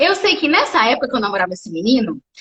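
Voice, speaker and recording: Over noticeable background noise, a woman speaks at a very fast pace with very wide pitch swings. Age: 30s. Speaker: wheelchair triathlete and speaker. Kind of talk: casual live interview. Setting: live video stream. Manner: animated storytelling.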